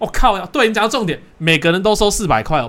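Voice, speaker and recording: Using vocal fry, a man rattles along at a very fast pace. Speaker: podcast host. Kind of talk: casual chat.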